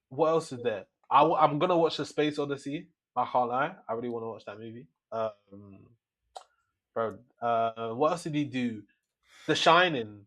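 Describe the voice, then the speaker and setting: Over a quiet background, a man with a London accent and a fairly high pitch talks at a moderate pace, with ordinary pitch variation, big swings in loudness and long, frequent pauses. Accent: London English with Nigerian roots. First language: Yoruba. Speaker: film podcast co-host. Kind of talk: casual chat. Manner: halting.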